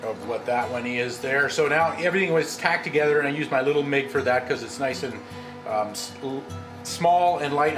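A man talks at a moderate speed while clear music is heard in the background. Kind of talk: tutorial. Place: workshop.

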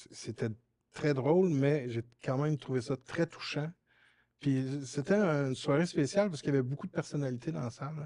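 In a Quebec accent, a man speaks at a moderate pace with a dark, mellow tone. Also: fairly high pitch for a man, ordinary pitch variation. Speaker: talk show host. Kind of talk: casual chat. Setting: studio. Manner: halting.

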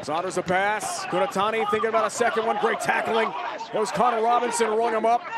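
A high-pitched man at a very fast pace, with lively intonation, very even loudness and noticeable background noise. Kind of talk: live rugby commentary. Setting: broadcast commentary at match in Charlotte.

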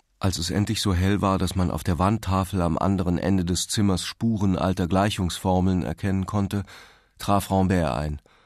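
Against a quiet background, a man with a very deep, low pitch speaks at a moderate pace in a calm tone with fairly even intonation. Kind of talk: literary audiobook reading, scripted narration of a novel. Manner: calm, measured, formal narrator's delivery, even and sombre.

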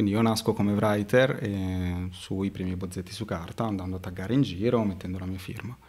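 Delivered at a fairly quick pace, the speech has fairly even intonation. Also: man, fairly low pitch for a man. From Modena, Italy; Italy. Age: 20s. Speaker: street artist; guest. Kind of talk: casual interview; interview answer. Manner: hesitant, many fillers. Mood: relaxed, chatty. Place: studio. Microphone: studio mic.

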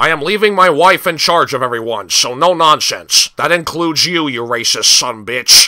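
A man's fairly high voice with lively intonation. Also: moderate pace. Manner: curt, authoritative.

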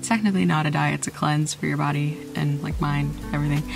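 With noticeable background noise behind her, a woman's pitch swings very widely. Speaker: singer and fitness vlogger. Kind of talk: casual talk to camera. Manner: rambling.

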